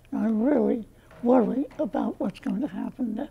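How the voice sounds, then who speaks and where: A woman with an American accent, fairly high in pitch, at a fairly slow pace over noticeable background noise. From US. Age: 80s+. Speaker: voter. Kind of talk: interview. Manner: halting.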